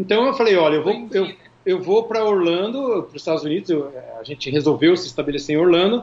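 With noticeable background noise behind him, a man speaks at a very fast pace in a high pitch with lively intonation. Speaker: singer and music producer. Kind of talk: casual interview chat.

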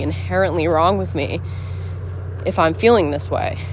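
A woman speaks at a fairly quick pace. There is noticeable background noise. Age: 20s. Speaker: podcast host. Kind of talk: casual monologue. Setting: outdoors, walking in the woods.

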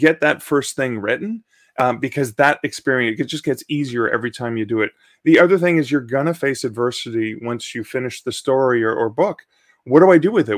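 A man's normal speaking voice at a fairly quick pace, medium pitch, ordinary pitch variation, in a very clean recording with a silent background. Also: dry, close sound with no echo. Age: 50s. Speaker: author. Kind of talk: interview.

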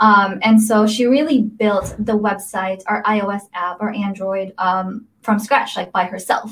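Speaking with a General American accent, a woman's somewhat breathy voice moves at a fairly slow pace with fairly even intonation and hardly any pauses. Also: medium pitch for a woman. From Las Vegas, Nevada (born in Philippines). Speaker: startup founder and CEO. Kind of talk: interview. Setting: video livestream.

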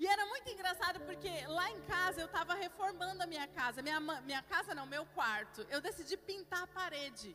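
Over noticeable background noise, a woman talks in a raised, projected voice at an extremely high pitch and a fairly quick pace. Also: hardly any pauses. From Curitiba, southern Brazil. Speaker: pastor. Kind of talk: sermon.

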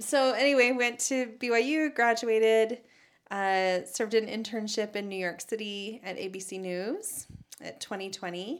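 With an American accent, a woman in an ordinary speaking voice talks at a fairly slow pace and a fairly high pitch, with ordinary pitch variation and big swings in loudness on a very clean recording with a silent background. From Utah, Salt Lake Valley. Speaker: former TV news reporter and anchor. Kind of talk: casual interview conversation.

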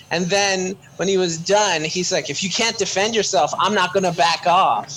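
A man with a high pitch and ordinary pitch variation at a moderate pace, amid noticeable background noise. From Canada. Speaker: podcast co-host. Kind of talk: casual chat.

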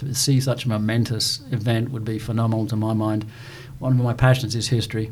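A man speaks with a British accent. His intonation stays monotone and flat. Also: medium pitch for a man, fairly quick pace. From southern England. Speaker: church member and former Marine. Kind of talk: interview testimony. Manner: storytelling.

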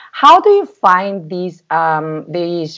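Fairly low pitch from a woman, varying in an ordinary way. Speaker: podcast host and travel blogger. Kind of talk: podcast interview. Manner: halting, with many fillers.

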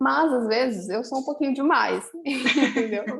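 Her pitch high and its variation ordinary, a woman talks over noticeable background noise. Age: 20s. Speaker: eyebrow designer. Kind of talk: casual chat.

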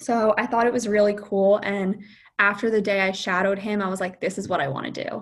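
With an American accent and a normal speaking voice, a woman at medium pitch talks at a fairly quick pace with fairly even intonation. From New Jersey. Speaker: optometry student. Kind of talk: interview. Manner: casual with fillers.

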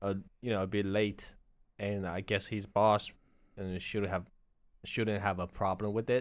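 A man with a Chinese accent speaks fairly slowly in a fairly low pitch, leaving long, frequent pauses. His intonation is monotone and flat, and the recording is very clean with a silent background. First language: Chinese dialect. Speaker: Chinese language co-teacher. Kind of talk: language lesson.

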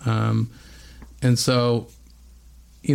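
A man with a West Coast accent speaks at a medium pitch. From Bend, Oregon. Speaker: metal band frontman and graphic designer. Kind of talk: casual interview. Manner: many fillers.

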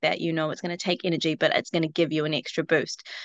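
Very fast and fairly even in intonation, a woman's fairly low voice comes through with a dry, close sound and no echo. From New Zealand. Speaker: shop owner, parent. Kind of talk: group coaching call. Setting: phone video call.

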